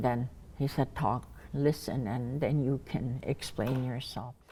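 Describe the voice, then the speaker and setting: The tone is dark and mellow, captured in a very clean recording with a silent background. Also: woman. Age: 70s. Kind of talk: personal testimony. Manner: halting, with many restarts.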